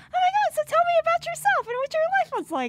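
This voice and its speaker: In a put-on character voice, a woman squeaks at an extremely high pitch and a fairly quick pace, with very wide pitch swings and big swings in loudness. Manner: gushing, overeager.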